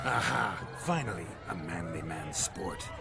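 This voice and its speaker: A man puts on a character voice at a moderate pace, with loud background noise behind him. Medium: machinima. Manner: brash, hearty.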